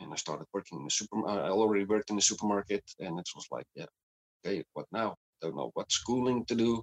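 Recorded with a dry, close sound and no echo, a man races along at a very fast pace with big swings in loudness. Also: fairly low pitch for a man, ordinary pitch variation. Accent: Dutch. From Netherlands. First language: Dutch. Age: 30s. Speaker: podcast guest with chronic illness. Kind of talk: casual interview. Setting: video call.

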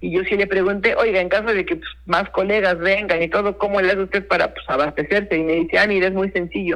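This man speaks at a very fast pace with hardly any pauses. His high-pitched voice has a bright, sharp tone and fairly even intonation. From Mexico, Puebla (San Martín Texmelucan). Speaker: chef. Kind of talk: interview. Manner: halting, many repetitions and fillers.

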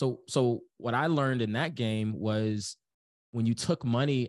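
Over a quiet background, a man of medium pitch with ordinary pitch variation has an unremarkable speaking voice. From US inner city. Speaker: business coach. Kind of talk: casual chat.

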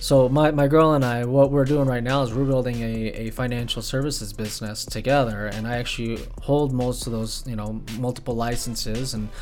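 Audible room echo and noticeable background noise fill the recording. A man at medium pitch speaks fairly quickly. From Bay Area, California; moved to Las Vegas at 11. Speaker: podcast co-host, music producer and financial services entrepreneur. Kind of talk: casual solo monologue. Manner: casual, filler-heavy.

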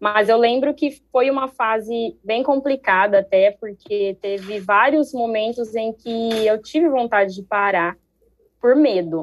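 A woman speaks in an unremarkable speaking voice. Her pitch is fairly high, with ordinary variation. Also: fairly slow pace. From Brazil, Ribeirão Preto (São Paulo state). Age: 20s. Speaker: street dancer and dance teacher. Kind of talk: casual chat.

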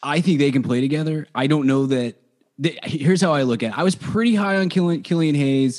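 A man has a plain, everyday voice, fairly high in pitch with ordinary pitch variation. He moves at a fairly quick pace with very even loudness. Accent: American. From Dallas-Fort Worth, Texas. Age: 30s. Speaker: sports and movie podcast host. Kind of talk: casual chat.

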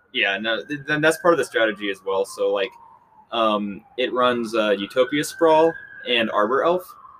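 Noticeable background noise sits under the recording. A man with an American accent speaks at a moderate pace. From Kansas City, Missouri. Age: 20s. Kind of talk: casual chat.

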